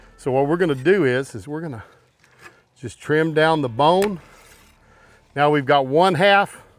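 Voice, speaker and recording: A man talks at a fairly slow pace in a fairly high pitch, with ordinary pitch variation. Long, frequent pauses and big swings in loudness break up his speech. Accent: Texan. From Texas. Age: 60s. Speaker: barbecue cook. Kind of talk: cooking tutorial. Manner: casual.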